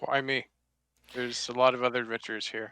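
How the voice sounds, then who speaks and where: A man's put-on character voice at medium pitch, monotone and flat, delivered at a very fast pace on a very clean recording with a silent background. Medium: actual play. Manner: blunt, short.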